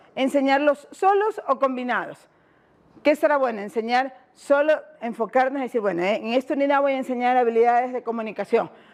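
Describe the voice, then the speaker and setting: At a fairly quick pace, a woman speaks at a high pitch with ordinary pitch variation. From Ecuador, Guayaquil. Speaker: education workshop facilitator. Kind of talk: workshop presentation. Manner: fast; interactive, questioning audience.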